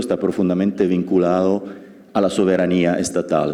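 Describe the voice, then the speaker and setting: A dark, mellow tone in an Italian accent, with audible room echo. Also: man. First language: Italian (speaking Spanish). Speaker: law professor. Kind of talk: lecture. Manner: halting.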